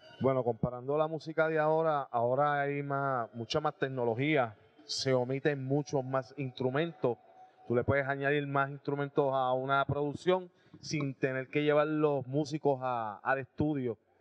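Against a quiet background, a man speaks at a fairly slow pace. His fairly high voice is monotone and flat. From Puerto Rico, Aibonito; Puerto Rico. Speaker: rock band drummer and singer; guest. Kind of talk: casual interview. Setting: restaurant. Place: cafe. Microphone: handheld.

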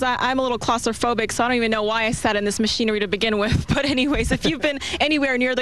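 Crowd noise fills the background. A woman talks very fast in a high voice. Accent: American. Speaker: TV news reporter. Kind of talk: live field news report to camera.

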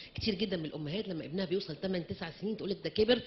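An ordinary speaking voice moves at a fairly quick pace with ordinary pitch variation over light background noise. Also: woman. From Egypt. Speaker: pediatric professor. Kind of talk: lecture. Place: hall. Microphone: handheld.

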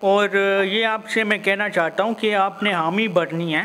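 The intonation stays fairly even. Light background noise sits behind the voice. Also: man. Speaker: caller, YouTuber. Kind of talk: casual vlog intro and prank phone call. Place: home room.

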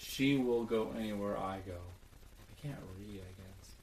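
A man's fairly low, deadpan voice with audible room echo and light background noise. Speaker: comedy video maker. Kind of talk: comedic dry reading of song lyrics. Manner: monotone, deadpan, dry. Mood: ironic, mock serious. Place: home room. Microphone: webcam.

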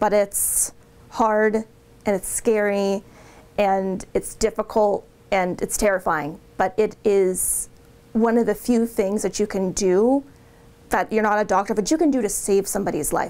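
A woman speaks at a fairly slow pace, with ordinary pitch variation and very even loudness. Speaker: 911 dispatcher. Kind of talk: interview answer. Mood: earnest, emotional about CPR. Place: office.

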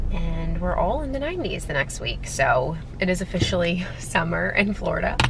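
Noticeable background noise surrounds a woman speaking at a moderate pace. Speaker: nurse practitioner vlogger. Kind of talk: casual vlog chat. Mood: cheerful, relaxed. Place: car. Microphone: phone near.

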